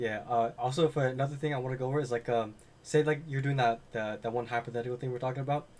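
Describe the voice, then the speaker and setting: The pace is very fast as a man speaks at a medium pitch. His intonation stays fairly even. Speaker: day trading instructor. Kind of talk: screen-share tutorial.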